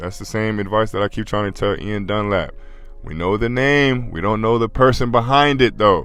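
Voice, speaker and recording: With music in the background, a man speaks in a fairly low pitch and fairly even intonation. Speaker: podcast commentator. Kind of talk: casual commentary monologue.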